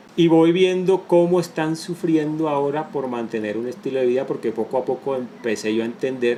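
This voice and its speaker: A man speaks at a moderate pace with lively intonation. Noticeable background noise can be heard. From Colombia, Caribbean coast (Barranquilla), moved to Bogotá at ten. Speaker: entrepreneur. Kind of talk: interview testimony.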